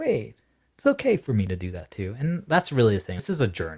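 A man's somewhat breathy, fairly low voice with an animated tone at a moderate pace, on a very clean recording with a silent background. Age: 20s. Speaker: podcast host. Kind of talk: casual chat.

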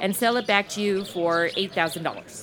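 Noticeable background noise accompanies a woman speaking in an animated tone. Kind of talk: comedic radio-drama parody, modern snark over old Western. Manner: sarcastic, animated, quippy.

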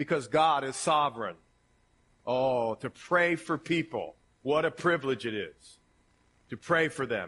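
A man with an Ohio accent, a bright, sharp tone, lively intonation and a fairly slow pace. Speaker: pastor. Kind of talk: sermon. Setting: church with congregation. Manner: casual, conversational with fillers.

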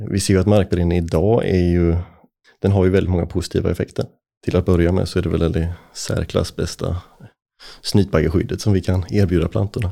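A man speaks at a fairly quick pace in a very deep, low pitch with a dark, mellow tone. His intonation is fairly even, and the recording is very clean with a silent background. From Småland highlands, Sweden. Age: 30s. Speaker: forestry company CEO. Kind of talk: podcast interview.

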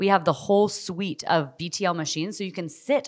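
With an American accent, a woman talks at a fairly quick pace in a plain, everyday voice of medium pitch. The recording is very clean, with a silent background. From Southern California. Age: 40s. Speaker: physician and med spa owner. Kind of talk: interview. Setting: studio.

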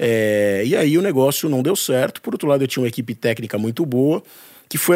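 An unremarkable speaking voice from a man, fairly high in pitch, at a moderate pace with lively intonation. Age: 40s. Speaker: journalist and entrepreneur. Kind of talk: casual interview.

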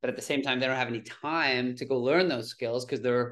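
Over a quiet background, a man speaks very fast at a medium pitch in a monotone, flat intonation. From Toronto, Canada. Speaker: plastic surgeon and entrepreneur. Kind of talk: casual interview chat.

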